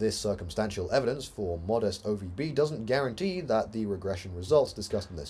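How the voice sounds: The speaker uses a natural reading voice, and the intonation is lively.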